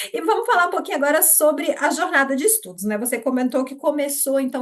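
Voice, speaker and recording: With very wide pitch swings, a woman speaks in a high voice. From Brazil, Minas Gerais. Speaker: interviewer. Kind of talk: interview.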